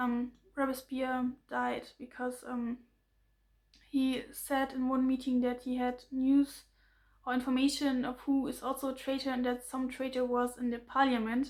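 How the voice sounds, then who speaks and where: In a German accent, the speaker goes at a fairly slow pace with a monotone, flat intonation. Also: woman, high pitch for a woman. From Germany. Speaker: political commentary vlogger. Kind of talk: explainer monologue. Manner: halting, many fillers and restarts.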